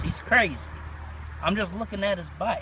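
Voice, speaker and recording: A man speaks with noticeable background noise. The sound is dry, with no echo. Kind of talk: acted role-play monologue. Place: car. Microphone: phone near.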